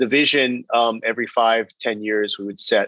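In a West Coast accent, a man speaks at a fairly slow pace in a dry, close sound with no echo. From California, Bay Area. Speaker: business executive and author. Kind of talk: interview.

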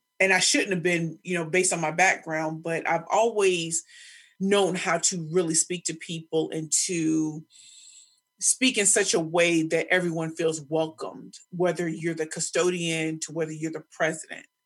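A woman's fairly low-pitched voice with an American accent, at a moderate pace. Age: 40s. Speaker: professional speaker and pitch coach. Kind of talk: casual interview. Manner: energetic.

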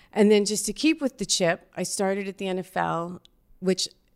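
A woman with an American accent and an unremarkable speaking voice talks with fairly even intonation. The recording is very clean with a silent background. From New York (Yonkers). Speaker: talent manager and entrepreneur. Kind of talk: casual chat.

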